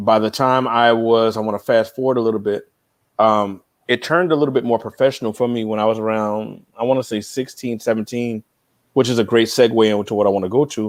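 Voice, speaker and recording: Here a man with a New York accent talks at a very fast pace. His pitch is medium and his intonation fairly even. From New York (Queens). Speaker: music industry veteran. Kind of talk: interview.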